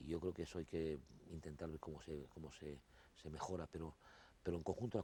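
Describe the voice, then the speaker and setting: Delivered very fast, the voice has a dark, mellow tone, vocal fry and fairly even intonation. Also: man. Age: 60s. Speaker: interview guest. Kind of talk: TV interview. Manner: halting, with many repetitions.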